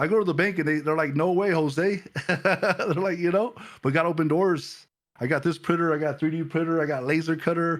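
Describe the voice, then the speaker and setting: A man's high-pitched voice with an American accent, a fairly quick pace and fairly even intonation. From Los Angeles, US. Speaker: pastor and print shop owner. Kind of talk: testimony. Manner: halting, many repetitions.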